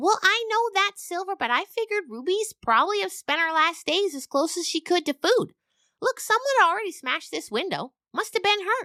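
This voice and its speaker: A female-sounding put-on character voice at an extremely high pitch and a fairly quick pace. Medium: audio drama. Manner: earnest.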